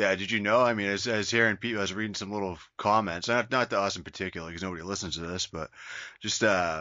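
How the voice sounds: Talking at a fast pace, a man with a fairly low pitch has a bright, sharp tone and fairly even intonation.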